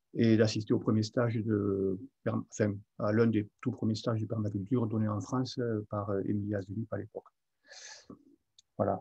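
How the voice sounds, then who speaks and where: A man's fairly low, dark, mellow, somewhat breathy voice, monotone and flat at a moderate pace with long, frequent pauses, in a dry, close sound with no echo. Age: 60s. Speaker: market gardener. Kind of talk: webinar presentation. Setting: online webinar. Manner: hesitant, many fillers.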